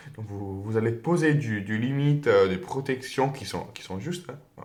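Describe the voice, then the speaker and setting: A man with a non-native accent sounds somewhat breathy and uses lively intonation. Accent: foreign accent in French. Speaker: tarot reader. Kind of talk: tarot reading to camera. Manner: hesitant, many fillers.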